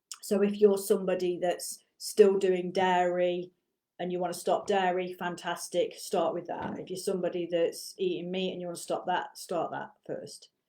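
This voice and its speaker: A dark, mellow tone with monotone, flat intonation, a moderate pace and big swings in loudness. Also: woman, medium pitch for a woman. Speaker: martial arts teacher and business coach. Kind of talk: casual monologue to camera. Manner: lecturing, teacherly.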